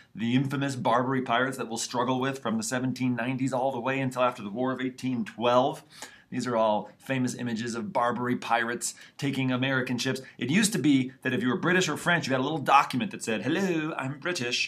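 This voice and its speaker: Talking at a very fast pace over noticeable background noise, a man holds a medium pitch with ordinary pitch variation. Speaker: high school history teacher. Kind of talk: classroom lecture. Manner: animated.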